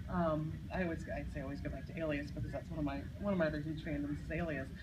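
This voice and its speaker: The delivery is very fast. Noticeable background noise runs underneath it. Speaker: convention panelist. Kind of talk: convention panel talk. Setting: convention panel room with audience. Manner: loud.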